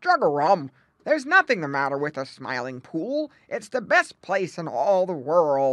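In a put-on character voice, a woman speaks gruffly at a fairly low pitch and moderate pace against a quiet background. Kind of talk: bedtime story. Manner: gruff, grumpy.

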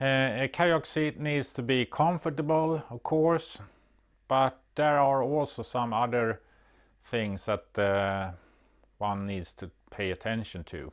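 A man speaks at a very slow pace against a quiet background. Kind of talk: tutorial. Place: workshop.

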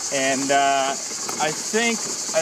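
Against noticeable background noise, a man's voice comes through dry, with no echo. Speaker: traveler vlogger. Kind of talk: casual vlog chat. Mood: amused, mildly exasperated. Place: open country.

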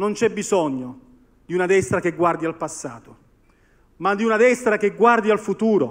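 A man talks with ordinary pitch variation. Behind him, the background is quiet. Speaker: speaker. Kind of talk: political speech. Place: stage. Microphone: podium.

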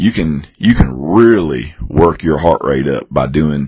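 A man with a very deep, low pitch and vocal fry. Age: 40s. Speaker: fitness podcast host. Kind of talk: casual chat. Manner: halting, many repeated words and fillers.

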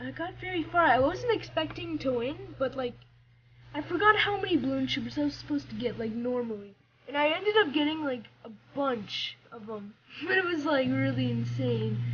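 With light background noise, a woman talks at a fairly quick pace. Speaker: gamer. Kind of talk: casual gameplay commentary.

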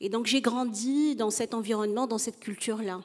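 Over a quiet background, a woman speaks in a normal speaking voice with a fairly high pitch and ordinary pitch variation. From Tunisia. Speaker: psychologist and entrepreneur; panelist. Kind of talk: panel discussion. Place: stage. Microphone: handheld.

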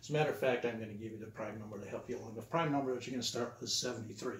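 Audible room echo and light background noise surround a man whose somewhat breathy voice keeps a fairly even intonation. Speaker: teacher. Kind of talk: lecture. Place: classroom.

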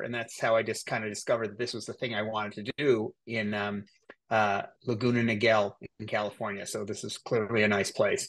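Over a quiet background, a man talks at a fairly quick pace with a slight Canadian accent. His pitch is medium and his intonation is flat and monotone. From Cape Breton Island, Nova Scotia, Canada; Nova Scotia, Canada. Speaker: nurse anesthetist and educator; educator. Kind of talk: interview. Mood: calm, confident, informative. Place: home room. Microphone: video call.

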